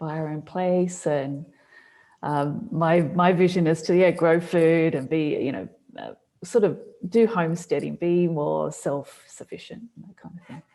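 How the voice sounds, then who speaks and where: A woman with an Australian accent speaks at a fairly slow pace in a fairly low pitch, her dark, mellow tone rising and falling widely in loudness while her pitch varies in an ordinary way. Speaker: business coach. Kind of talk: casual chat.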